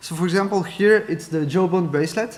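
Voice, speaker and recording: A man with a French accent talks at a fairly quick pace with fairly even intonation. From France. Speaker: keynote speaker, data scientist. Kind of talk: conference keynote. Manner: halting, many fillers.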